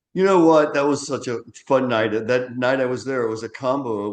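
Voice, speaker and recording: Against a quiet background, a man with an ordinary speaking voice talks at a fairly quick pace with ordinary pitch variation. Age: 60s. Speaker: author and former magazine publisher. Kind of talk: interview.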